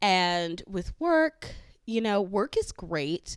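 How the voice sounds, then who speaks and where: A woman speaks with a Southern Californian accent. The recording is very clean, with a silent background. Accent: Valley girl. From California, San Fernando Valley. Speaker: podcast host. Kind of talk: casual chat.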